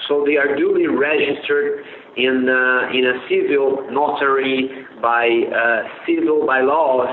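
A man with a Portuguese accent is heard amid noticeable background noise and audible room echo. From Brazil. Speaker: sports lawyer. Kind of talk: interview. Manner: halting, many fillers.

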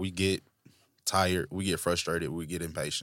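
A man with a very deep, low voice and a Southern US accent speaks at a moderate pace. The recording is very clean with a silent background and a dry, close sound without echo. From Tennessee (Franklin). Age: 20s. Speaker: podcast co-host. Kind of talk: casual chat. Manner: animated.

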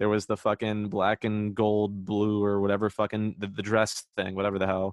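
Using an ordinary speaking voice, a man with a fairly low pitch talks at a fairly quick pace. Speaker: podcast co-host. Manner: joking, banter, laughs often.

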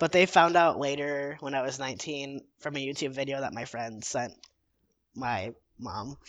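A normal speaking voice, ordinary in its pitch movement, in an American accent. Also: man. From Illinois, Chicago suburbs. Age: 20s. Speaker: mental health advocacy volunteer. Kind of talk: casual interview.

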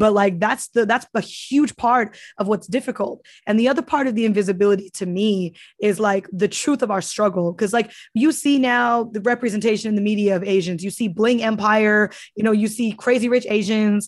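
An unremarkable speaking voice from a woman with an American accent, fairly high in pitch with ordinary variation, at a fairly quick pace against a quiet background. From US, Cambodia town neighborhood. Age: 20s. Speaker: activist. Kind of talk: interview.

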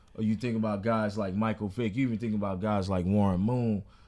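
With an American accent and an unremarkable speaking voice, a man talks fairly quickly at fairly low pitch with fairly even intonation. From New York. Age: 20s. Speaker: podcast host. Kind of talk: casual chat.

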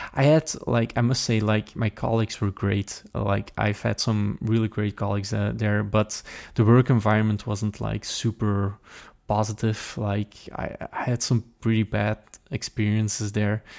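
A man with a Flemish accent speaks at a moderate pace in a fairly low, monotone voice with flat intonation. The recording is very clean with a silent background, the sound dry and close with no echo. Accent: Flemish Dutch accent in English. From Belgium, Limburg (Flemish). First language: Dutch. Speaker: software developer and conference organizer. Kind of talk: interview. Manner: halting, many fillers.

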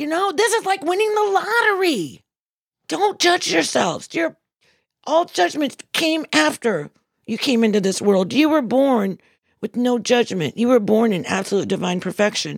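At a moderate pace, the voice comes through on a very clean recording with a silent background. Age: 60s. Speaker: spiritual speaker. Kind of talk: inspirational talk.

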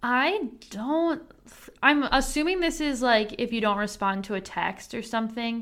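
Over a very clean recording with a silent background, a woman speaks at a fairly slow pace in a high pitch with lively intonation. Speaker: podcast host. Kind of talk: casual chat.

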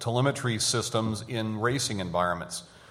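A man speaks with audible echo from the room. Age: 50s. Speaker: technology executive. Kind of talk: conference panel talk.

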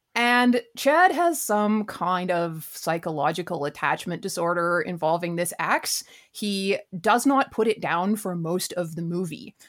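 A woman with a plain, everyday voice talks at a fairly slow pace and a medium pitch. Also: lively intonation. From Canada (Vancouver). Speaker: writer and musician. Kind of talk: casual chat.

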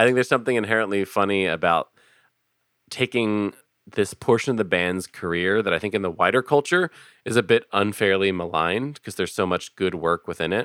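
A man with an American accent talks at a fairly quick pace in a fairly low pitch, with ordinary pitch variation. It is an ordinary speaking voice, with a dry, close sound and no echo. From Philadelphia. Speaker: podcast host and improv comedian. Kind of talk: casual chat.

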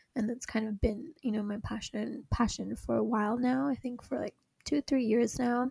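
In a dry, close sound with no echo, a woman speaks at a moderate pace in a somewhat breathy, dark, mellow tone, her fairly high pitch showing ordinary pitch variation. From Hong Kong. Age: 20s. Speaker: podcast co-host, recent graduate. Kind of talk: casual chat.

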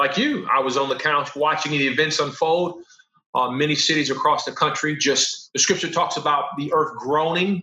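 This man talks at a moderate pace with an American accent, an ordinary speaking voice, fairly high pitch and ordinary pitch variation. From Los Angeles, US. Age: 40s. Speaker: professor. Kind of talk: casual chat.

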